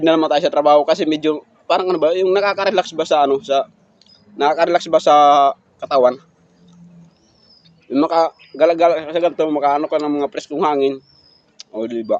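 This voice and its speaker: In a strong Eastern Visayas accent, a man speaks very fast at a fairly high pitch with long, frequent pauses, the sound dry and close with no echo. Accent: Waray accent in Tagalog, strong. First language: Waray (speaking Tagalog). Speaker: food vlogger. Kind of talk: mukbang vlog chat. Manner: halting, many fillers.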